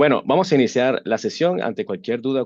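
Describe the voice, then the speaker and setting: A man speaks at a moderate pace with a Venezuelan accent and lively intonation against a quiet background. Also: dry, close sound with no echo. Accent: Venezuelan Spanish accent, noted by himself. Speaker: webinar presenter on AI governance. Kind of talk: webinar lecture. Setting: online webinar. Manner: hesitant, many fillers and restarts.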